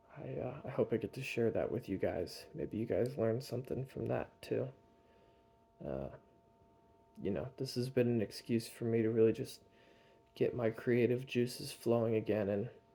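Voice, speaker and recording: The voice carries vocal fry and a dark, mellow tone with an American accent. It moves at a moderate pace with long, frequent pauses. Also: man, medium pitch for a man, ordinary pitch variation. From North Carolina. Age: 20s. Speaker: vlogger. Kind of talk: casual vlog monologue. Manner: casual, hesitant with fillers.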